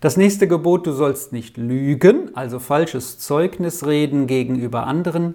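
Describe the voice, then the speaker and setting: A man speaks at a fairly high pitch in a dark, mellow tone. His pace is moderate, with ordinary pitch variation. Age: 50s. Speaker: lay preacher. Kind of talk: sermon.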